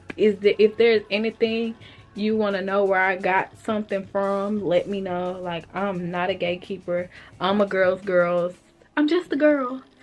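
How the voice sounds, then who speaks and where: A woman speaks at a moderate pace with a medium pitch and ordinary pitch variation, with music playing in the background. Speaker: vlogger and home hair stylist. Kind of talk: casual vlog chat to camera. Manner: casual, conversational.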